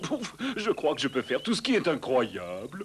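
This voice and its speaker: A cartoonish character voice from a man, fairly high in pitch, cheerful in tone, at a moderate pace. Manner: cheerful, lightly whimsical.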